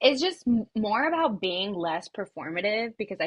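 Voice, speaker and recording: The voice is somewhat breathy. It belongs to a woman at a medium pitch. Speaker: podcast co-host. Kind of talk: casual chat. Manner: animated.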